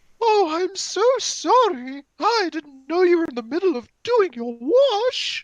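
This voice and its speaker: Hardly pausing, a woman puts on a squeaky character voice at an extremely high pitch. She talks at a fairly slow pace while her pitch swings very widely. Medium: stage play.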